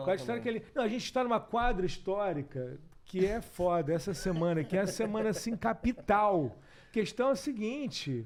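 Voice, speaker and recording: This man speaks at a moderate pace and a high pitch. His voice makes very wide pitch swings. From Rio de Janeiro, Brazil. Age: 40s. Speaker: actor, director and TV presenter. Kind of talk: interview answer.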